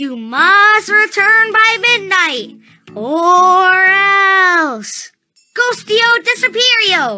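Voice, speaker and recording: Over faint music, a female-sounding put-on character voice speaks very slowly at an extremely high pitch. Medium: video game. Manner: chirpy, brisk.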